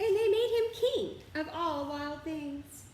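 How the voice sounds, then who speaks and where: Putting on a character voice, a woman speaks fairly slowly in an extremely high, squeaky pitch with a warm, animated tone and a slight echo. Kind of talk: children's read-aloud. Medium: read story. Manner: warm, animated, encouraging.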